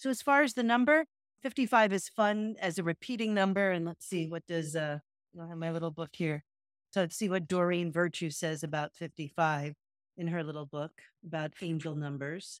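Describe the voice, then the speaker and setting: An unremarkable speaking voice at a moderate pace with ordinary pitch variation comes through on a very clean recording with a silent background and a dry, close sound with no echo. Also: woman, fairly low pitch for a woman. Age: 50s. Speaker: podcast co-host, retreat facilitator. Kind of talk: casual chat.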